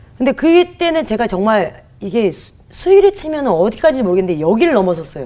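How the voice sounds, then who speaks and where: With hardly any pauses, a woman talks at a fairly quick pace in an energetic tone, her pitch swinging very widely. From South Korea, Gunsan (North Jeolla). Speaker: comedian. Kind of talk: testimony.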